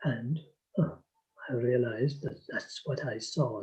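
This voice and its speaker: A man's voice, somewhat breathy and pitched fairly high. His tone is dark and mellow. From Ireland. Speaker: storyteller and folklore collector. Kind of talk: interview answer.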